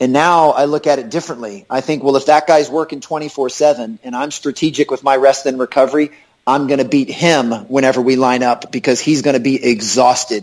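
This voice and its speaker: An American-accented man talks in an unremarkable speaking voice at a medium pitch. He moves at a fairly quick pace with hardly any pauses and fairly even intonation. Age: 40s. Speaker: basketball performance coach and speaker. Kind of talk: interview.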